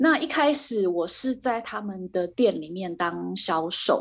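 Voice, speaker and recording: Against a quiet background, the speech moves at a very slow pace with lively intonation. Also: woman. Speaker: illustrator and fashion designer. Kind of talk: interview.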